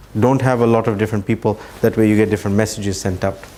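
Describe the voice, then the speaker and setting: A man's fairly low pitch with ordinary pitch variation. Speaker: Islamic outreach trainer. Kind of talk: lecture. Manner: fast.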